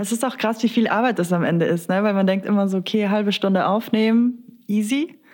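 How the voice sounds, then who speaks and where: Speaking with a plain, everyday voice, a woman moves at a fairly quick pace with hardly any pauses, medium pitch, ordinary pitch variation and very even loudness. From South Tyrol. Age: 20s. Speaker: podcast host, psychology researcher. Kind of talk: casual chat.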